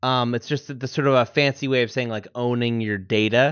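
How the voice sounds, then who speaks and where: With an unremarkable speaking voice, a man talks at medium pitch in a fairly even intonation. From US, northern Vermont. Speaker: musician and podcast co-host. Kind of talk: casual interview chat.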